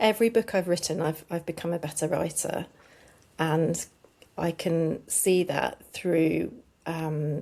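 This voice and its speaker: A woman speaks fairly slowly at a fairly low pitch, with a dark, mellow tone. Her intonation stays fairly even. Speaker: children's author and speech therapist. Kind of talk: interview. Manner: hesitant, many fillers.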